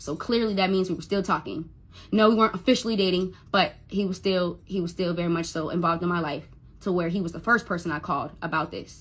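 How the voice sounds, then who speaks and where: A woman with a somewhat breathy voice talks very fast at a medium pitch, her intonation fairly even. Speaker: Instagram live streamer telling a personal story. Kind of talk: personal storytelling on a livestream. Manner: stutters when upset; emotional, repetitive.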